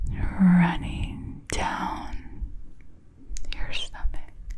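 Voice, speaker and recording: A woman whispers in a breathy, put-on character voice. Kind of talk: guided relaxation. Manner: breathy whisper.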